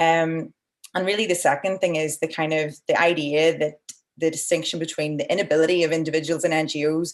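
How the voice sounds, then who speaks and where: With an Irish accent, a woman talks very fast in a flat monotone at a very deep, low pitch. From Ireland. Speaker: environmental NGO director and webinar moderator. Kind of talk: webinar moderation. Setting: online video webinar.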